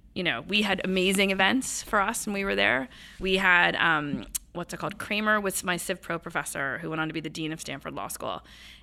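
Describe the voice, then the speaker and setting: Vocal fry runs through a bright, sharp tone. The pace is fairly quick, with ordinary pitch variation. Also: woman. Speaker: general counsel. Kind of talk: casual interview. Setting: office. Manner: fast talker; straightforward, profane.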